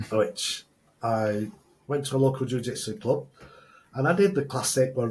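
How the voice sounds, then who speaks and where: Somewhat breathy, a man's voice sits at a medium pitch. Its pitch variation is ordinary. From northern England (Oldham). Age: 60s. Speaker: entrepreneur, former rugby player. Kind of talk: podcast interview.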